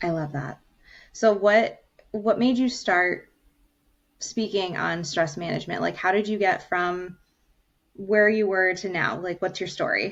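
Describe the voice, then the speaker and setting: With long, frequent pauses, a woman speaks at a fairly slow pace in a medium pitch with ordinary pitch variation. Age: 30s. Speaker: podcast host. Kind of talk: casual podcast interview.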